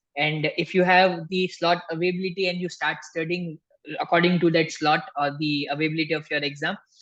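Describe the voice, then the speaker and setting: In an Indian accent, a man talks fairly quickly at a high pitch with a monotone, flat intonation. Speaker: tax instructor. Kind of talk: live webinar Q&A. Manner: soft-spoken.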